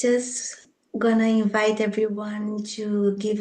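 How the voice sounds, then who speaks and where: A woman with a Brazilian Portuguese accent, a fairly high pitch, a dark, mellow tone, and a very slow pace. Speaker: spiritual program co-facilitator. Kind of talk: opening prayer.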